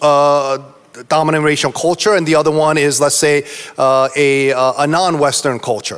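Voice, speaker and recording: At a moderate pace, a man with a plain, everyday voice talks at a fairly high pitch, with fairly even intonation and very even loudness. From US East Coast. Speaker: pastor. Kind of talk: panel discussion. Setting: stage with audience.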